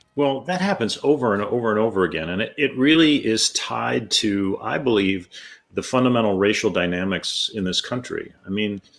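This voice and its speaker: A man with an American accent, medium pitch, a moderate pace and lively intonation. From US Midwest (rural Ohio). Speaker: jazz trombonist and music professor. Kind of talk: interview. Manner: hesitant, many fillers.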